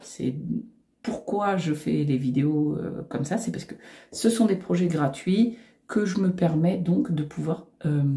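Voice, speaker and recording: Very slowly, a woman speaks in a dark, mellow, somewhat breathy tone, her pitch swinging very widely. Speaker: knitting youtuber. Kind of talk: tutorial; casual chat. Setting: home recording facing computer. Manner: hesitant, many fillers.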